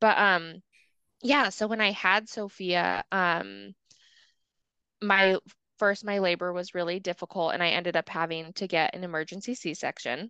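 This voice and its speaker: Bright, sharp tone with ordinary pitch variation, a moderate pace broken by long, frequent pauses, and a dry, close sound with no echo over a quiet background. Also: woman, medium pitch for a woman. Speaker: podcast co-host and mother. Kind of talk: casual chat.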